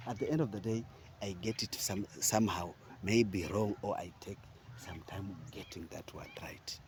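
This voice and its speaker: This voice is a whisper. It moves at a fairly slow pace. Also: man. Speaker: vlogger. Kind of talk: motivational monologue. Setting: outdoors, walking. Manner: halting, searching for words.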